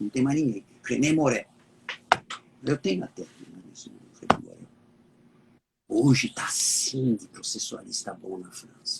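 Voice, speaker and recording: A man's medium-pitched voice at a very slow pace, with lively intonation, big swings in loudness, and long, frequent pauses. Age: 70s. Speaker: law professor. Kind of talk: interview.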